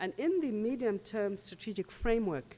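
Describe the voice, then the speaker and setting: The voice has a dark, mellow tone and lively intonation. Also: woman. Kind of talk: conference presentation. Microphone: podium.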